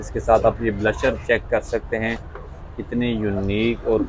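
Light background noise under a man's dry voice with no echo. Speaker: vlogger showing a shop. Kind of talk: casual vlog chat. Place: shop. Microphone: phone near.

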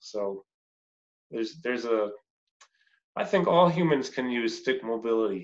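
Lively intonation marks this man's medium-pitched voice at a moderate pace. He leaves long, frequent pauses, and the background is quiet. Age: 50s. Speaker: personal trainer and interview host. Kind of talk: interview. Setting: remote call. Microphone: video call.

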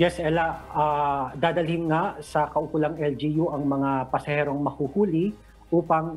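A man speaks at a fairly slow pace with monotone, flat intonation and very even loudness. Faint music plays in the background. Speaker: news reporter. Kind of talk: news live report. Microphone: video call.

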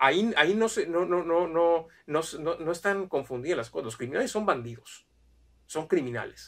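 Over a quiet background, a man talks at a moderate pace with lively intonation. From Mexico. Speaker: immigration consultant. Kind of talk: video monologue. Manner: halting, many fillers. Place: home room. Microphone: camera far.

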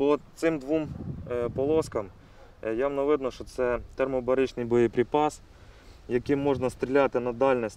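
A man's medium-pitched voice at a fairly slow pace, with fairly even intonation and a dry sound with no echo. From Ukraine. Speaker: special forces officer. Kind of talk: on-camera briefing showing captured weapons. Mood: calm, matter-of-fact. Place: open country. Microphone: lapel.

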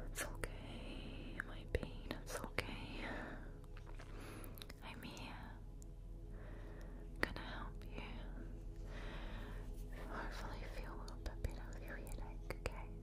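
Against loud background noise, a woman speaks at a very slow pace with long, frequent pauses. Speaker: ASMR roleplay carer. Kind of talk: ASMR roleplay. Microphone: studio mic.

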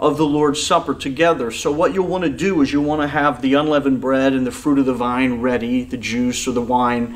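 This man talks at a fairly quick pace. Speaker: pastor. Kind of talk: sermon introduction to online congregation. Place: church.

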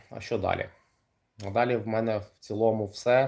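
Somewhat breathy speech comes at a moderate pace on a very clean recording with a silent background. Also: man. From Kryvyi Rih, Ukraine. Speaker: kickboxer and coach. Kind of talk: livestream monologue. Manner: casual, hesitant with fillers.

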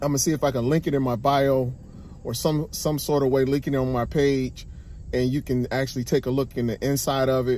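Recorded dry with no echo and light background noise, a man speaks at a fairly quick pace. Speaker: vlogger. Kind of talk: casual vlog chat. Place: car. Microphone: phone near.

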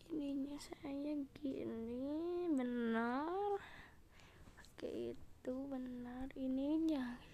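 A woman speaks very slowly at a high pitch with ordinary pitch variation. Audible room echo surrounds her voice. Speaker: gaming YouTuber. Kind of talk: gameplay commentary. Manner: casual, rambling.

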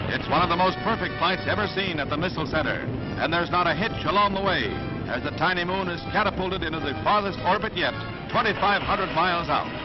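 The speech comes at a very fast pace. Clear music plays in the background. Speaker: newsreel announcer. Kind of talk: 1950s newsreel narration. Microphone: old recording.

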